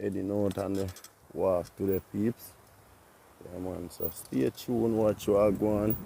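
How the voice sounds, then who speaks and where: The speech moves at a fairly slow pace with long, frequent pauses. The tone is relaxed and the intonation fairly even. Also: man, fairly low pitch for a man. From Jamaica. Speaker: vlogger and farm worker. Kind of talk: casual vlog. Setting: outdoors riding a bicycle on a country road. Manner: relaxed, patois-heavy.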